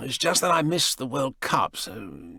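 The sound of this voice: A man's put-on character voice, medium in pitch, with vocal fry, a slightly husky edge, a bright, sharp tone, big pitch swings and a fairly slow pace, on a very clean recording with a silent background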